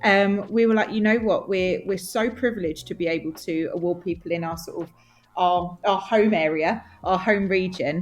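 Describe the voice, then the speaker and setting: Speaking at a medium pitch, a woman talks in an Essex accent. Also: moderate pace. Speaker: nail industry magazine representative. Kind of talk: podcast interview. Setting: podcast. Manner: animated, enthusiastic.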